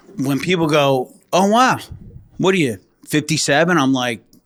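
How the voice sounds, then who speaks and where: With a New Jersey accent, a man talks at a fairly slow pace using lively intonation. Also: long, frequent pauses, very even loudness. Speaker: retired state trooper. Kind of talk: casual chat.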